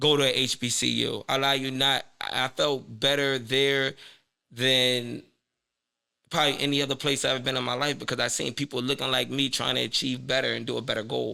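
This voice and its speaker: At a moderate pace, a man speaks in a bright, sharp tone with monotone, flat intonation and vocal fry. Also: medium pitch for a man. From West Philadelphia, US. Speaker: podcast host and interview guest. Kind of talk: interview.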